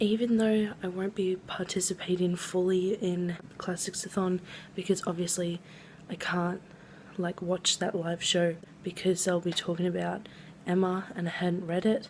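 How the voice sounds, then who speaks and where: Quiet and somewhat breathy, a woman with an Australian accent speaks at a medium pitch and moderate pace in a monotone, flat intonation. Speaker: book vlogger. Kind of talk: casual vlog talk. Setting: home kitchen at night.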